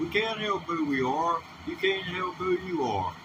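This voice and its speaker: With noticeable background noise behind him, a high-pitched man in a Southern US accent talks at a fairly slow pace with lively intonation. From US South. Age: 60s. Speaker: livestreamer. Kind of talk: casual livestream talk. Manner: halting.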